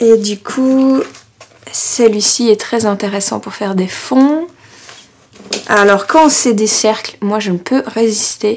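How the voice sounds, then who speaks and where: A woman speaks at a very slow pace, with long, frequent pauses. Her fairly high voice shows ordinary pitch variation over light background noise. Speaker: scrapbooking YouTuber. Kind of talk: product haul show-and-tell. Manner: chatty, many hesitations. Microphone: camera far.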